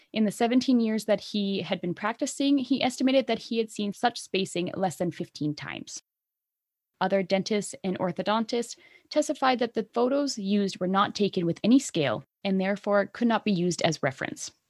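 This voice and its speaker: In a Canadian accent, a woman with medium pitch and a normal speaking voice talks at a fairly quick pace with lively intonation, in a dry, close sound with no echo. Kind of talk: casual chat podcast. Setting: video call. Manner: chatty, joking.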